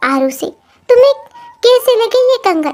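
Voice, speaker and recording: Over faint music in the background, a woman does a squeaky put-on character voice pitched extremely high, with very wide pitch swings. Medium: read story.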